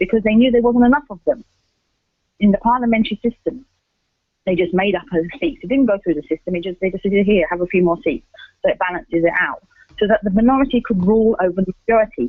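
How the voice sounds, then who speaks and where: Very fast speech with an English accent. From England. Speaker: radio contributor on political topics. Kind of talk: political commentary on live radio. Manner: halting with frequent restarts.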